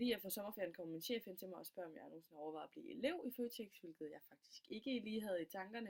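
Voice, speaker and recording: A woman talks with lively intonation. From Denmark, Funen (Middelfart). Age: 20s. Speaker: student. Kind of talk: self-presentation. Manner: halting, many fillers.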